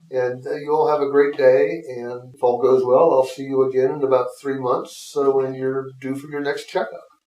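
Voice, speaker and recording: A man with a medium pitch talks at a moderate pace, hardly pausing at all. His intonation is fairly even, and there is noticeable background noise. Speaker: naturopathic doctor. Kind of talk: casual chat. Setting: studio. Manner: loud.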